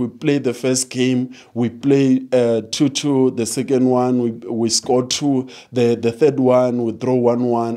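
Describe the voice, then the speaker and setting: Over a quiet background, a man talks at a fairly slow pace with fairly even intonation and a dark, mellow tone. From South Africa. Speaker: football fan pundit. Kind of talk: casual football match analysis. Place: studio. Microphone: handheld.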